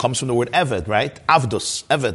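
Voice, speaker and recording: A man speaks in a somewhat breathy voice. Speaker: Torah teacher giving a Chassidic class. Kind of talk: lecture. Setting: live class with online video viewers. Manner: conversational, explanatory, repeats words.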